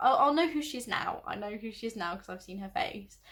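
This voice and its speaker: A woman's voice, fairly high in pitch, moves with lively intonation. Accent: southern English. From southern England, Oxfordshire. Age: 20s. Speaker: vlogger. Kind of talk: casual chat. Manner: animated; halting.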